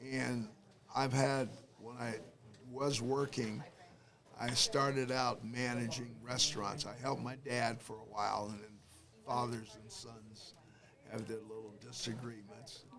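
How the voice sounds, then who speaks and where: A man with an American accent speaks in a medium-pitched, monotone, flat voice at a fairly slow pace, with long, frequent pauses. His loudness swings widely, and audible room echo fills the recording. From Detroit, Michigan, US. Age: 80s+. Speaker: war veteran. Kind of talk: interview.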